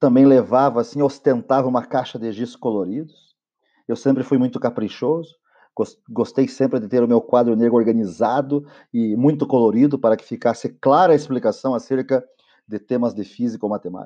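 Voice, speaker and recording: A man's dark, mellow tone moves along rather quickly over a quiet background. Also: medium pitch for a man. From southern Brazil (Paraná). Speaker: teacher and podcaster. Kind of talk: monologue podcast. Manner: enthusiastic.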